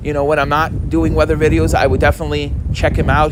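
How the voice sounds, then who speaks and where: A man speaks over noticeable background noise. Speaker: weather enthusiast live streamer. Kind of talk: live stream chat with viewers. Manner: halting, self-interrupting.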